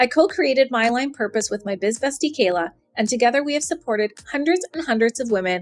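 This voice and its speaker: This woman has a high voice and an American accent. She speaks at a fairly quick pace, and her pitch swings very widely. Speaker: podcast host, business coach. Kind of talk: scripted podcast intro.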